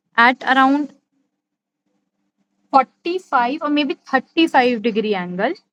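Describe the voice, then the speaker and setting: A high-pitched woman with ordinary pitch variation, recorded with a dry, close sound and no echo. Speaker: calligraphy teacher. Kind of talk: live online class. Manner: slow, deliberate.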